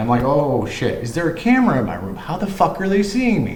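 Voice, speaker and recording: A man at a very fast pace, his pitch swinging very widely, over noticeable background noise. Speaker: vlogger. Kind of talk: personal monologue. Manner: casual, rambling delivery with repetitions.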